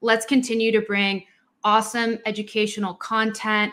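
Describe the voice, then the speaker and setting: This voice belongs to a woman. Her pitch sits fairly high. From Colombian-American, raised in US South (Atlanta). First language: Spanish. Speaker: podcast co-host, cybersecurity audit consultant. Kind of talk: casual chat. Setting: video recording.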